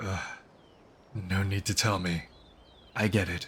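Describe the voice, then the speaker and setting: A man with a very deep, low pitch adopts a put-on character voice and talks at a moderate pace. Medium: fan dub. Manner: casual, teasing, lighthearted.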